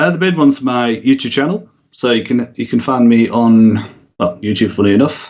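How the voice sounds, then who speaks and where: With a northern English accent, a man speaks at a very fast pace, his medium pitch showing ordinary pitch variation. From northern England. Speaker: YouTube content creator. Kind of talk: podcast interview.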